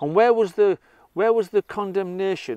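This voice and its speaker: Against a quiet background, a man with a Teesside accent speaks at a moderate pace, his high-pitched voice dark and mellow, the sound dry and close with no echo. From northern England, Redcar. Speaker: political commentator. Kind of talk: monologue. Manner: impassioned.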